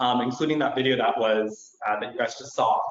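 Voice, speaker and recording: A man is speaking here. His pace is fairly quick and his intonation fairly even. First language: Chinese. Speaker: nurse practitioner. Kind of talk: conference presentation.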